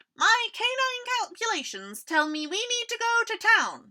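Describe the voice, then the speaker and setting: A woman puts on a squeaky character voice at extremely high pitch, talking at a moderate pace. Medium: read story.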